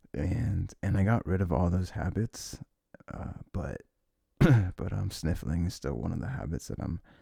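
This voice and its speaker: This man's voice is very deep and low, dark and mellow in tone with vocal fry, and his lively intonation is broken by long, frequent pauses. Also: moderate pace. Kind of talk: ASMR boyfriend roleplay. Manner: soft, whispered; rambling, casual.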